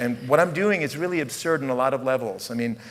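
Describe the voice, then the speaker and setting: Loud, noticeable noise sits behind this man's voice. His pitch is fairly high and his intonation lively. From US, rural area, Italian immigrant family. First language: Italian. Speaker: puppet troupe director and artist. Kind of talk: conference talk. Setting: stage with audience. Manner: improvised, halting with fillers.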